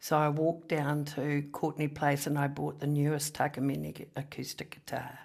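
In a New Zealand accent, a woman with a very deep, low pitch speaks in a monotone, flat intonation with hardly any pauses, on a very clean recording with a silent background. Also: moderate pace. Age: 60s. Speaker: economist and former politician. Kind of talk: casual interview chat.

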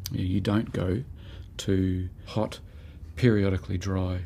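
Very deep, low pitch from a man, with a dark, mellow tone, somewhat breathy, monotone, flat intonation and a very slow pace. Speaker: botanist. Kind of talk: interview. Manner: halting.

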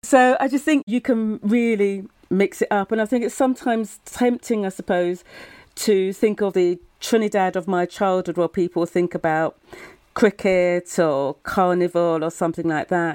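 A woman with a southern English accent speaks at a moderate pace and medium pitch, with ordinary pitch variation, on a very clean recording with a silent background. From Brighton, England. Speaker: author. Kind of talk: panel interview.

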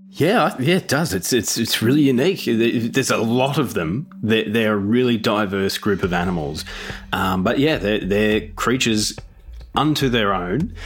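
Medium-pitched man with an Australian accent, lively intonation, a moderate pace and very even loudness, plus noticeable background noise. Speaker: podcast co-host. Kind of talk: casual chat.

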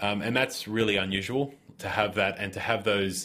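Very clean with a silent background, the recording captures a man with an Australian accent speaking at a moderate pace in a fairly low pitch, his tone bright and sharp with ordinary pitch variation. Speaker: chemist. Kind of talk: interview.

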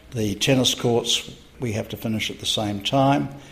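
Against noticeable background noise, a man talks with a fairly low pitch. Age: 70s. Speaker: hotel developer. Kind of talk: interview.

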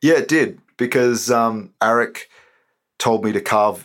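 A man speaks with an Australian accent at a medium pitch, with ordinary pitch variation. The recording is very clean, with a silent background. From Queanbeyan, Australia. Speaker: poet and author. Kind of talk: interview with poetry performance.

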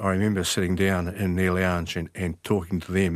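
A man with a New Zealand accent speaks at a moderate pace in a very deep, low voice. His intonation is monotone and flat, on a very clean recording with a silent background. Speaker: retired detective. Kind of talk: interview. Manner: halting.

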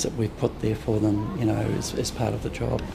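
Noticeable background noise sits behind a man speaking at medium pitch and a moderate pace. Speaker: window display designer. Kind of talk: interview.

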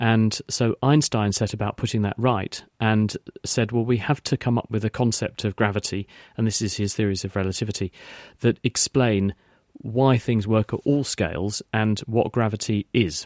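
A man with an English accent speaks at a fairly low pitch with fairly even intonation. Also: moderate pace, dry, close sound with no echo. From England. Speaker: science expert on radio. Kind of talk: radio call-in Q&A.

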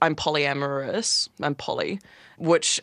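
A woman's very deep, low voice with a New Zealand accent, dry and close with no echo, very clean over a silent background. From New Zealand, Wellington. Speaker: artist. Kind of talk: interview.

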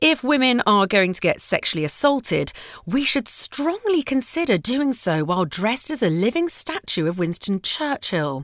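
A woman speaks at a moderate pace with hardly any pauses. Her fairly high voice swings very widely in pitch. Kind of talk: reading aloud.

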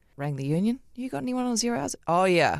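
A woman's medium-pitched voice with a New Zealand accent and very wide pitch swings, in a dry, close recording with no echo. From New Zealand, Auckland (Otahuhu). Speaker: television journalist and breakfast show host. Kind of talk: casual interview chat. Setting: studio.

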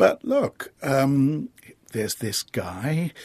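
A man speaks with an English accent. The sound is dry and close, with no echo. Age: 60s. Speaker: theatre director. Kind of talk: interview. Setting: studio.

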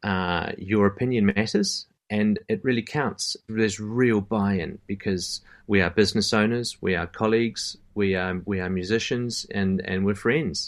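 A man with a New Zealand accent at a moderate pace, fairly even in intonation, in a very clean recording with a silent background. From Christchurch, New Zealand. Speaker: professional singer. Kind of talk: casual interview chat. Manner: hesitant, filler-heavy.

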